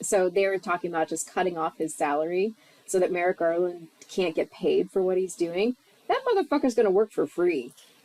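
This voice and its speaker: Over noticeable background noise, a woman talks at a fairly quick pace with a medium-pitched voice. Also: ordinary pitch variation, dry, close sound with no echo. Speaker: podcast co-host. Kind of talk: casual chat.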